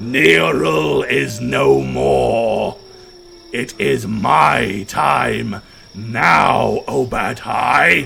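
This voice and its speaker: A man puts on a booming, growling character voice with a very deep, low pitch and very wide pitch swings, speaking at a very slow pace over clear background noise. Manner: menacing.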